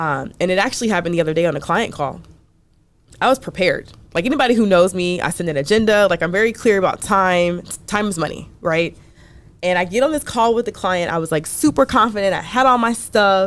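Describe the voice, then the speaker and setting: A woman's medium-pitched voice with an American accent, very fast and with lively intonation, in a very clean recording with a silent background. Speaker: business owner and resilience expert. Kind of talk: interview. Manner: occasional repetitions on words.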